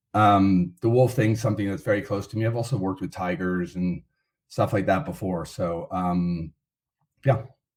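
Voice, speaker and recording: A man's fairly low-pitched voice with an American accent, an unremarkable speaking voice at a moderate pace with ordinary pitch variation, on a very clean recording with a silent background. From United States. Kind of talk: podcast interview.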